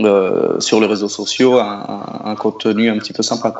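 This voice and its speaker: The man's pace is moderate. His voice sits at a fairly low pitch. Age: 30s. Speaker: singer-songwriter. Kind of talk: radio interview. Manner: hesitant, many repetitions.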